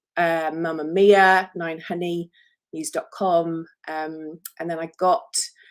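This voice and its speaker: In a very clean recording with a silent background, a woman speaks very slowly at a fairly low pitch, her intonation monotone and flat, with big swings in loudness. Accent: English. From England. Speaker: author and publicist. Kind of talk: live stream talk about her book. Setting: solo Facebook live video. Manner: chatty, many fillers.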